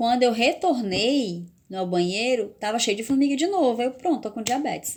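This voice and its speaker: The woman's pitch is high and her intonation lively. She talks at a moderate pace. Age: 40s. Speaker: vlogger. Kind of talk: personal testimony vlog. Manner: halting, with repetitions.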